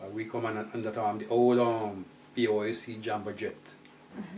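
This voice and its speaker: A man with a Jamaican accent speaks at a fairly low pitch over noticeable background noise. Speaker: Jamaican immigrant to England. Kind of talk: oral history interview answer.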